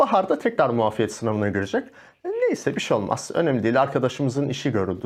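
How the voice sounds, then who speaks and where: Speech moves at a fairly quick pace over a quiet background. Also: man. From Turkey, Malatya; Turkey. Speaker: yoga instructor and life coach; yoga instructor, life coach. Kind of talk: casual interview chat. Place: studio.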